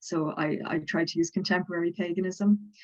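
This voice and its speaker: With a Dublin accent, this woman talks in a fairly low voice and a flat, monotone delivery. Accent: Southern Irish (Dublin). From Ireland, Dublin. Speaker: folklorist and religion lecturer. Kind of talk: interview on academic topic.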